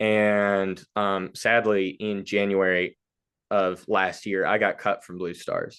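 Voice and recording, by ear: With little pitch movement, a man speaks slowly at a low pitch in a clear, smooth, fairly bright tone.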